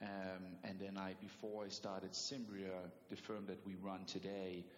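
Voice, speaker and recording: The speaker has a Danish accent and a monotone, flat intonation. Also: man. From Denmark. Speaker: private equity investor. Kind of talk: interview.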